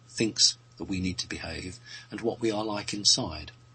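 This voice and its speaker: A man with a British accent, fairly low in pitch, at a fairly quick pace with ordinary pitch variation. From Britain. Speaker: radio show guest answering questions. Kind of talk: casual chat. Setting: radio show.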